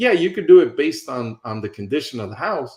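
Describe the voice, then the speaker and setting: At a fairly quick pace, a somewhat breathy man with an American accent makes very wide pitch swings. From New York City. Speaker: real estate investor and coach. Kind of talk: teaching session. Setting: video call. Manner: fast.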